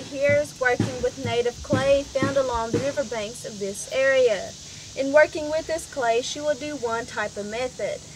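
Noticeable noise sits in the background. The delivery keeps a moderate pace. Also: woman. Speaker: village tour guide. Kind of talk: guided tour explanation. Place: forest.

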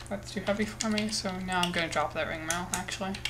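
A woman talks at a fairly quick pace and medium pitch. Noticeable background noise is present. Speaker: gaming YouTuber. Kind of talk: solo gameplay commentary. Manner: casual, muses aloud while playing.

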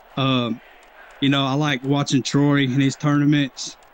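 A man with an East Tennessee accent, monotone and flat, at a moderate pace, in a dry sound with no echo and light background noise. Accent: US Southern (East Tennessee). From Knoxville, Tennessee. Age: 30s. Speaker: viewer joining on call; retro gaming streamer. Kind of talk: casual chat. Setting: Discord voice call. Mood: relaxed, nostalgic. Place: home room.

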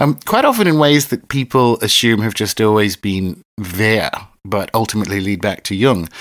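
Here is an ordinary speaking voice from a man with a fairly low pitch. He keeps a moderate pace with ordinary pitch variation. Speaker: podcast host. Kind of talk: casual interview chat.

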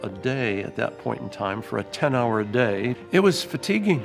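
Clear music plays in the background. The speech moves at a fairly slow pace. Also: man. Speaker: museum guide or historian in period costume. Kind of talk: interview answer. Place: hall.

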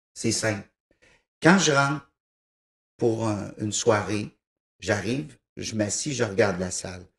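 Fairly low-pitched with ordinary pitch variation, a man talks at a fairly slow pace. Audible room echo fills an otherwise quiet background. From Quebec, raised in East Broughton / Thetford Mines; Quebec. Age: 50s. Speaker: musician, piano-bar organist and composer; interviewee. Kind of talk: TV interview, casual chat. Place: studio. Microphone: handheld.

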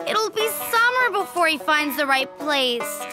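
A woman puts on a cartoonish character voice, high-pitched with a bright, sharp tone and big pitch swings, speaking at a fairly slow pace over faint background music.

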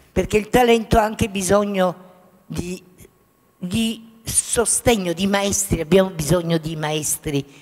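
Music plays in the background while a woman talks. Her pace is very slow, with ordinary pitch variation. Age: 80s+. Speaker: photographer. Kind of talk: interview answer. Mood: earnest, reflective. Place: hall. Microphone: handheld.

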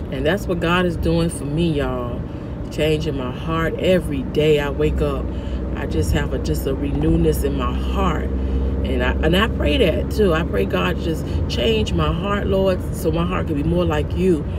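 A woman at a moderate pace with ordinary pitch variation, over loud background noise. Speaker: vlogger. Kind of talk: casual vlog chat with preaching tone. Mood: earnest, spiritual. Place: car. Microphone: phone near.

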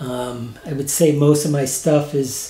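There is audible room echo around a man's voice. He has an American accent and a fairly high pitch. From Missouri, St. Louis area; Missouri. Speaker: retired graphic designer, painter; interviewee. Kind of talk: interview. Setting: home studio. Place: home room.

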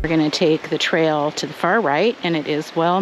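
Over noticeable background noise, a woman with a fairly low voice speaks at a moderate pace, the sound dry with no echo. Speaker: hiking vlogger. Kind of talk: trail tour narration. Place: forest.

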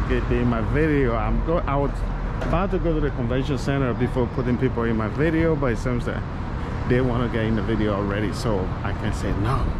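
Loud background noise surrounds a man talking at a fairly quick pace. The sound itself is dry, with no echo. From Liberia. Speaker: YouTube vlogger. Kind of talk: live-streamed walking vlog with street interviews. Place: street. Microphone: phone near.

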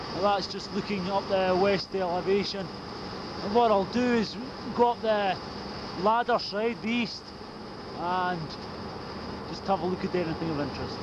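Long, frequent pauses break up the speech, which sounds dry with no echo against noticeable background noise. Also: moderate pace. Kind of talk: technical survey commentary. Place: factory. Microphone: old recording.

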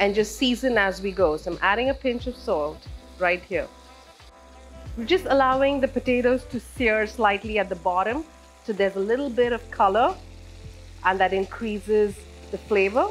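With faint music in the background, a woman speaks at a moderate pace with ordinary pitch variation and long, frequent pauses. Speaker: home cook host. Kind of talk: cooking tutorial. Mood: calm, friendly. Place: home room.

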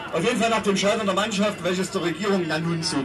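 A man's fairly even intonation amid noticeable background noise. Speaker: speaker. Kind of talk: political speech. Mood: sarcastic, combative. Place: street. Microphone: pa.

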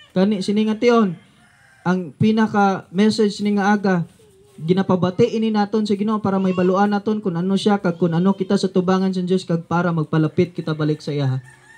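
This man talks at a very fast pace. His pitch is high for a man. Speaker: street preacher. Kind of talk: street sermon, fiery preaching. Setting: outdoors, addressing a crowd in a neighborhood. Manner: animated, forceful, rhetorical questions; confrontational, warning of judgment. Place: open country. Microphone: camera far.

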